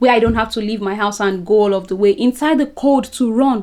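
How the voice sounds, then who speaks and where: Her voice fairly high in pitch, a woman speaks in an animated tone with lively intonation. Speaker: lifestyle vlogger. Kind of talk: casual vlog monologue.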